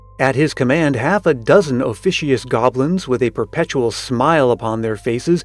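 Lively intonation from a man, with music in the background. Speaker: podcast host reading aloud. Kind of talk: ghost story reading, eerie spooky storytelling.

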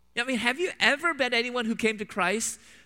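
With an American accent, a man speaks fairly quickly in a raised, projected voice that has a bright, sharp tone. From US Midwest, Chicago suburbs. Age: 40s. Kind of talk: church talk / lecture with Q&A. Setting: church with live audience.

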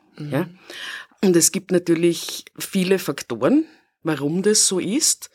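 This woman talks at a very slow pace and fairly low pitch. The sound is dry and close, with no echo. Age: 50s. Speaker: city equality officer. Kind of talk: interview.

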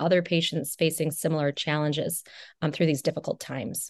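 A woman with an American accent speaks in a very deep, low pitch with fairly even intonation. The sound is dry and close with no echo over a quiet background. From Wisconsin, US Midwest. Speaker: radiation oncologist. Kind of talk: podcast interview. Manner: frequent fillers (uh, you know).

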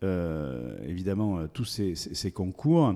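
In a very clean recording with a silent background, a man's dark, mellow tone moves with lively intonation. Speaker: agricultural show organizer and local politician. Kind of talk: interview. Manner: hesitant, repeats words.

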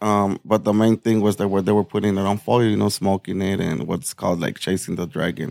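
With an American accent and a plain, everyday voice, a man speaks fairly quickly at a fairly low pitch, with fairly even intonation, hardly any pauses, and a dry, close sound with no echo. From Nogales, Arizona (US/Mexico border town). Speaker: peer support specialist and jail liaison. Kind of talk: interview sharing personal recovery testimony.

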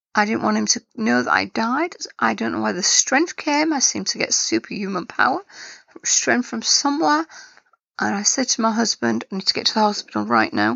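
A woman with an English accent talks at a fairly quick pace. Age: 50s. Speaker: cancer survivor telling own story. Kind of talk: personal testimony.

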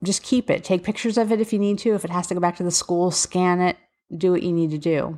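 Someone with a Philadelphia accent speaks very fast, with fairly even intonation and very even loudness, on a very clean recording with a silent background. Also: woman, medium pitch for a woman. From Philadelphia area, US. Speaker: special education advocate and podcast host. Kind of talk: solo podcast monologue, casual and informative. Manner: casual, conversational, candid.

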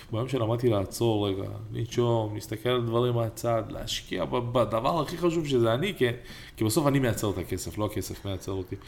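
The voice moves at a fairly quick pace. Its pitch variation is ordinary. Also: man, medium pitch for a man. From Israel, Ramla. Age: 30s. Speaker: entrepreneur and podcast co-host. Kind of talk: casual chat. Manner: animated.

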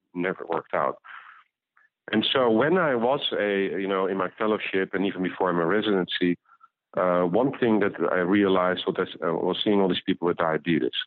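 This man has a Dutch accent and a fairly low pitch. He talks at a fairly quick pace with ordinary pitch variation. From Netherlands. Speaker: physician and company founder. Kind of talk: interview.

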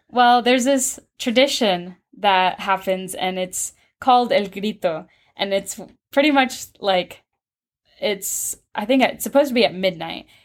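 A woman with an American accent uses a normal speaking voice at medium pitch with ordinary pitch variation. The recording is very clean, with a silent background. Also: fairly slow pace. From Pittsburg, Kansas, US. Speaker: university student, student organization president. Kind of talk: interview. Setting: office on campus.

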